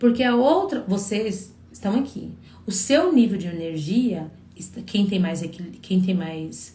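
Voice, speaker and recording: A woman speaks at a medium pitch with lively intonation. Room echo is audible. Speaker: psychologist giving relationship advice. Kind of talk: live stream talk to viewers. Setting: live stream.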